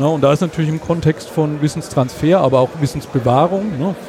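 A man talks at a fairly quick pace in a fairly high pitch with ordinary pitch variation. Noticeable background noise is present. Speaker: podcast event organizer. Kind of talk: casual chat. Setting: at a conference with crowd noise around.

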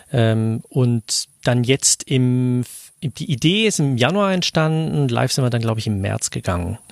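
In an ordinary speaking voice, the speaker moves at a fairly slow pace with lively intonation, the sound dry and close with no echo on a very clean recording with a silent background. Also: man, medium pitch for a man. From Switzerland. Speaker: podcaster. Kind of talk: casual chat.

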